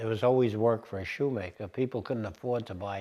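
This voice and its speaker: Somewhat breathy and dark, mellow in tone, a man with a New York accent speaks with ordinary pitch variation. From New York City (Bronx). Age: 80s+. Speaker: interviewee recalling the Great Depression. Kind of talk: oral history interview. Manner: halting, many fillers.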